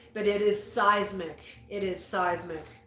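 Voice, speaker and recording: With audible room echo, a woman talks at a fairly slow pace in a fairly high voice. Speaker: tarot reader. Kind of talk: tarot reading, partly reading aloud from an oracle guidebook. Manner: halting, repeated syllables.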